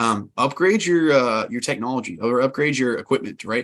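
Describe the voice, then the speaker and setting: This is a man with an American accent. His intonation stays fairly even. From Texas, Houston. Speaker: conference speaker on NFTs and Web3. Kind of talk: conference talk. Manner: fast.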